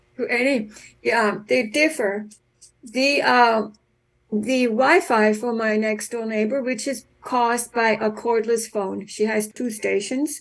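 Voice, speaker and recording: A woman speaks at a very slow pace. Her pitch is fairly high, and the background is quiet. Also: fairly even intonation. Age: 70s. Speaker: safe tech activist. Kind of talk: interview. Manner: halting.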